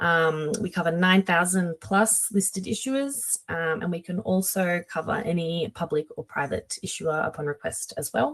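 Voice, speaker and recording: With an Australian accent, a woman speaks at a moderate pace in a somewhat breathy, fairly low voice with lively intonation. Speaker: company webinar presenter. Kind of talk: webinar presentation. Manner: hesitant, many filler sounds.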